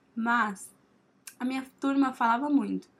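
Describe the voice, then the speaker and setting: A woman talks at a moderate pace. Her voice sits at a high pitch. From Brazil, Minas Gerais. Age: 20s. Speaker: podcast host, journalism student. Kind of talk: casual solo monologue.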